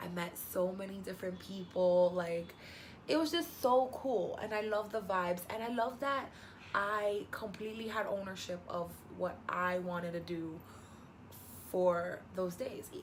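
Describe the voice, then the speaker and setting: With a Spanish accent and an animated tone, a woman speaks at a medium pitch with ordinary pitch variation and a fairly slow pace, amid noticeable background noise and audible room echo. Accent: Spanish-speaking. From New York. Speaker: travel vlogger. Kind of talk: casual vlog monologue.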